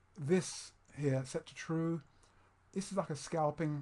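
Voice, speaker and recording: A man speaks with fairly even intonation and a somewhat breathy quality. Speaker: trading course instructor. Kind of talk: screen-recorded tutorial. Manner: fast; halting, many fillers and restarts.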